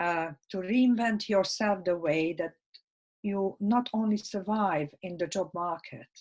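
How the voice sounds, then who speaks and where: A woman with a medium pitch talks at a fairly slow pace, her pitch varying in an ordinary way. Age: 60s. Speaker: life skills workshop speaker. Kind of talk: interview. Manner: halting, many fillers.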